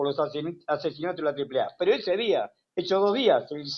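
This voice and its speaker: Talking at a very fast pace, a man delivers his words with lively intonation. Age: 70s. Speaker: economist. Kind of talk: interview. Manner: animated.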